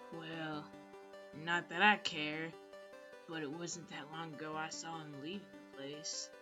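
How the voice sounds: Over loud background music, a growling, put-on character voice at a middle pitch moves at a fairly slow pace with long, frequent pauses.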